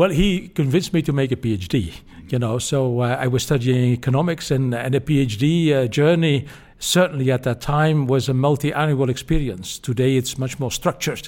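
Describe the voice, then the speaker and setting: A man with a Dutch accent at medium pitch, fairly quick and with ordinary pitch variation, in a very clean recording with a silent background. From Belgium, Flanders. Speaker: former climate policy official and professor. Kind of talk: interview.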